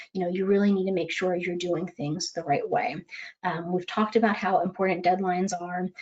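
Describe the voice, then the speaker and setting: A woman's monotone, flat delivery at a medium pitch and a fairly quick pace. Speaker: legal malpractice risk speaker. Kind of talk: webinar presentation. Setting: webinar. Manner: fast.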